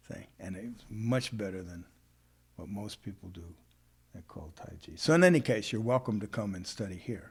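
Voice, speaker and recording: Somewhat breathy and fairly low-pitched, a man speaks at a moderate pace with ordinary pitch variation and big swings in loudness. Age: 70s. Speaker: martial arts teacher. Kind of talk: casual talk. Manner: conversational with many fillers.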